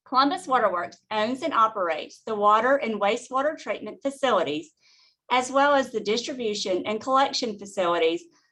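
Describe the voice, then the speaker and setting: A woman with a Southern US accent against a quiet background. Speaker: utility finance executive. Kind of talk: webinar presentation.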